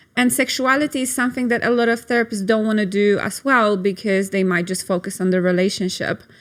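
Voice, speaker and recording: In a Polish accent, the speaker goes at a very fast pace with hardly any pauses and ordinary pitch variation. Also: woman, fairly high pitch for a woman. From Poland. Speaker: sex and couples therapist. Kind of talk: interview. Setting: studio.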